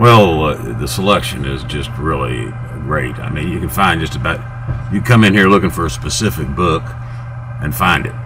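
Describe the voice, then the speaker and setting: A man with a very deep, low voice talks at a moderate pace with very wide pitch swings. Audible room echo and noticeable background noise fill the recording. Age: 60s. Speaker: customer. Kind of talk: interview.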